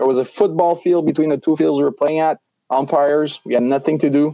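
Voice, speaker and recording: A man speaks at a fairly quick pace. He has a Quebec accent. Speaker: baseball umpire. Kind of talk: casual interview.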